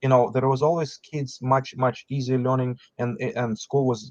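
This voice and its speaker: A man's medium-pitched voice with a non-native accent at a moderate pace, in a dry, close sound with no echo. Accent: foreign. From outside the US, foreign-born. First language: not English. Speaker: business founder. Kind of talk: podcast interview. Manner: halting, with repetitions.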